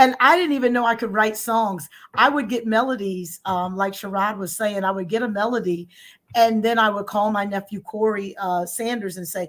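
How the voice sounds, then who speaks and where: This is an unremarkable speaking voice with ordinary pitch variation and a moderate pace. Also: woman, fairly high pitch for a woman. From born in Germany to US military family. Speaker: gospel singer and show co-host. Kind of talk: casual interview chat.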